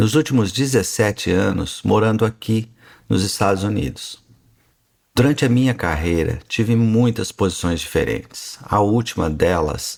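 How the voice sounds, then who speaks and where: A man with a northern Paraná accent speaks at a fairly slow pace in a fairly low pitch, with ordinary pitch variation and very even loudness, on a very clean recording with a silent background. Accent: rural northern Paraná (caipira). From northern Paraná, Brazil. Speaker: physician and podcast host. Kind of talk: podcast monologue.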